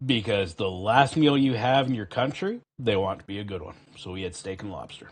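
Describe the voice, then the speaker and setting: A man with a Canadian accent talks in a fairly low, somewhat breathy voice, with ordinary pitch variation and big swings in loudness. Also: fairly quick pace. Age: 40s. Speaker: gaming streamer and army veteran. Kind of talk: casual chat.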